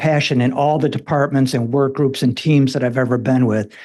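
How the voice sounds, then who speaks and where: A man's fairly high-pitched voice over a quiet background. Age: 60s. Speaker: older college student, retired nurse. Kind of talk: public comment at board meeting. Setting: public board meeting. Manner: halting, repeats words.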